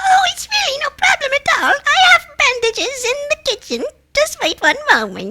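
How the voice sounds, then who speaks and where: A female-sounding put-on character voice, squeaky and extremely high in pitch, moves at a moderate pace. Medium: audio drama. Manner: sweet, sly.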